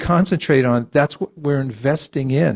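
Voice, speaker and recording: A man speaks at a fairly slow pace. His intonation is lively. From US West Coast, San Francisco Bay Area. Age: 60s. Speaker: spiritual teacher. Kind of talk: lecture. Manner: conversational, interactive.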